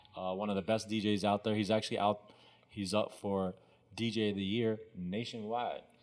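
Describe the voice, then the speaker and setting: A man with an American accent speaks at a moderate pace. His fairly low voice has monotone, flat intonation. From Texas. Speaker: sneaker shop owner. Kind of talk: interview.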